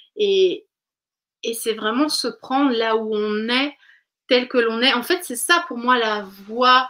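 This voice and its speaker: Speaking at a very slow pace with long, frequent pauses, a woman uses a high pitch. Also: ordinary pitch variation. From Switzerland. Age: 30s. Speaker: naturopath. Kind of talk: casual chat.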